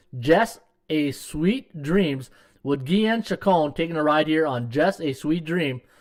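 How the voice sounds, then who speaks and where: A man's fairly high-pitched, normal speaking voice with lively intonation. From Canada, Ottawa. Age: 50s. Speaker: sports betting handicapper and podcast host. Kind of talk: live stream sports betting podcast. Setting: live stream. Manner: casual, filler-heavy.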